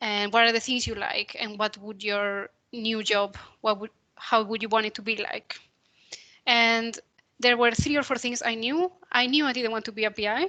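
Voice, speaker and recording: A woman speaks in a Spanish accent at a moderate pace, with fairly high pitch and fairly even intonation. Her tone is bright and sharp, and the background is quiet. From Spain. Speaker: computational biologist. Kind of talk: career talk presentation.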